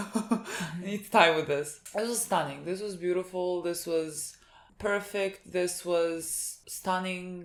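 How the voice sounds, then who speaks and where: A woman with a non-native accent, medium in pitch, with ordinary pitch variation. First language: not English. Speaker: anime reaction youtuber. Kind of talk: casual chat.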